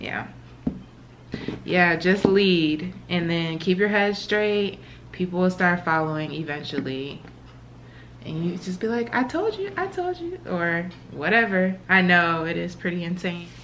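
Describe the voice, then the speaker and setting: A woman speaks fairly slowly at a fairly low pitch, her intonation fairly even. Noticeable background noise and audible room echo fill the recording. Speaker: vlogger. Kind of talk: casual chat; vlog, casual talk to camera. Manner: quiet, hushed.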